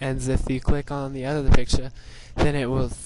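A man talks in a monotone, flat intonation. Noticeable background noise is present. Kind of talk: casual software tutorial narration. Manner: hesitant, casual.

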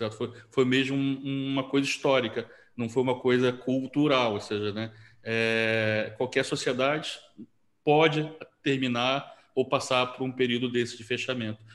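The delivery has a monotone, flat intonation. It moves at a fairly slow pace. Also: man. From Brazil, Rio de Janeiro. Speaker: interviewer, event host. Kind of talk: interview. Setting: video call. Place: home room. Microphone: video call.

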